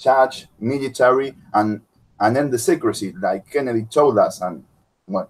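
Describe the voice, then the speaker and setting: With normal rises and falls in pitch, this man talks at an average speed in a mid-range voice. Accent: Spanish. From Argentina. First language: Spanish. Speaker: content creator. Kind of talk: casual chat. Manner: halting.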